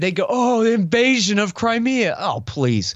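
A man talks with an American accent. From Texas, Austin. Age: 40s. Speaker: foreign policy commentator and radio host. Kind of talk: interview conversation.

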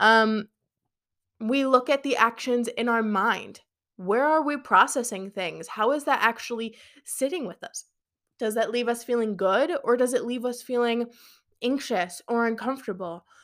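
The voice moves at a moderate pace with ordinary pitch variation. It is an unremarkable speaking voice on a very clean recording with a silent background. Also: woman, fairly high pitch for a woman. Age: 20s. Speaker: podcast host and business coach. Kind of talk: solo podcast monologue. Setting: live stream on social media. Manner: casual, filler-heavy.

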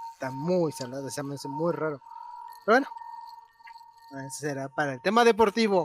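Over music in the background, a man with a central Mexican accent and a fairly high pitch talks at a fairly quick pace with lively intonation and long, frequent pauses. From Guanajuato, Mexico. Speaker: podcast co-host. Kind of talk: casual chat.

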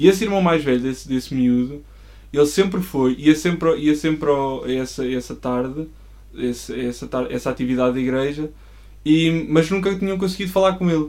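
A man talks at a moderate pace in a normal speaking voice. His pitch sits fairly high, with ordinary variation. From Portugal, Coimbra. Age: 20s. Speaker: church member and designer. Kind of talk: casual interview chat.

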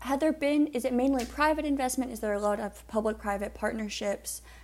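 A woman talks with an American accent. Her pace is fairly quick. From Virginia (Suffolk). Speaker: podcast host, government program coordinator. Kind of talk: interview.

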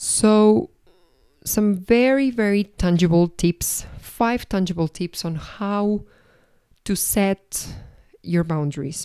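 In a very clean recording with a silent background, a woman with a Spanish accent speaks at a medium pitch in a dark, mellow tone, at a very slow pace with long, frequent pauses and ordinary pitch variation. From Argentina. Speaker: podcast host and life coach. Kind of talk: solo reflective podcast monologue. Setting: at home.

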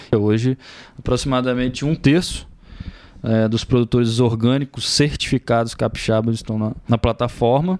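A normal speaking voice, a man's at medium pitch, with fairly even intonation and a moderate pace. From Brazil, Espírito Santo (Aracruz). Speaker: agritech startup founder, agronomist engineer. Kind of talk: interview.

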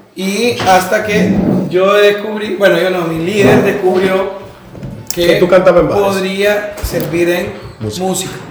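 A man's high, monotone, flat voice at a fairly slow pace, with audible room echo and noticeable background noise. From Honduras, San Pedro Sula. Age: 30s. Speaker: dentist and church musician. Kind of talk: casual chat.

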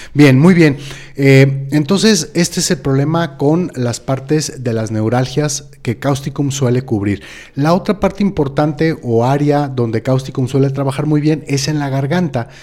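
At a fairly slow pace, a man talks with a dark, mellow tone, a fairly high pitch and ordinary pitch variation. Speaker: homeopathy doctor and co-host. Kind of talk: educational live-stream chat. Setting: live video stream.

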